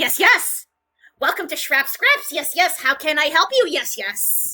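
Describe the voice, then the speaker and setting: A put-on character voice at an extremely high pitch moves along at a fairly slow pace. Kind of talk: eager salesman patter with repeated yes, yes.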